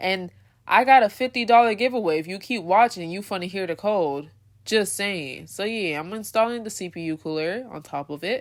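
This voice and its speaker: A woman talks at a moderate pace with medium pitch and lively intonation. Her recording is very clean, with a silent background. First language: not English. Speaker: gaming content creator. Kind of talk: casual voiceover tutorial. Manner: animated.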